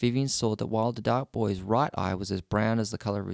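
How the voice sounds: Text is read in a natural voice.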